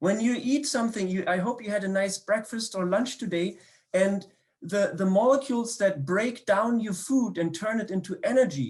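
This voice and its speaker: In a very clean recording with a silent background, a man with a German accent talks at a moderate pace. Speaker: biochemistry professor. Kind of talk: public science talk. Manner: hesitant, many fillers and repetitions.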